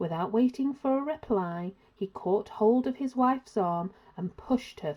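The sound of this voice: In an unforced reading voice, the speaker delivers the lines with lively intonation.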